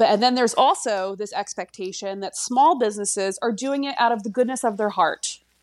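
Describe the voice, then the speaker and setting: Speaking with a Philadelphia accent, a woman talks with lively intonation and hardly any pauses on a very clean recording with a silent background. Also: fairly high pitch for a woman, fairly quick pace. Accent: Philadelphia-area American. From US, Delaware County, Pennsylvania (Philadelphia area). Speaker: fashion brand founder. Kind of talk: casual interview conversation.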